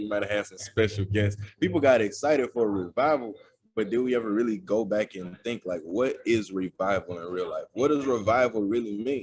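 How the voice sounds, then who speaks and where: This is a man with a normal speaking voice. He talks at a fairly quick pace with a fairly low pitch. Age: 20s. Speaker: preacher. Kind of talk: sermon. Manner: casual, conversational.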